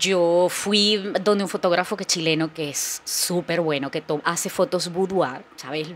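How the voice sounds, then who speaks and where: A woman with a fairly low pitch speaks at a fairly slow pace with hardly any pauses and ordinary pitch variation. Noticeable background noise sits behind her. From Venezuela, Barquisimeto. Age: 40s. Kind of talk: casual chat.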